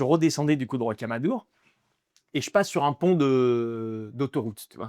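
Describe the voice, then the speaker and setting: Here a man talks in an ordinary speaking voice with ordinary pitch variation. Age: 20s. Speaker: stand-up comedian. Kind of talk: interview answer. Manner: casual, conversational.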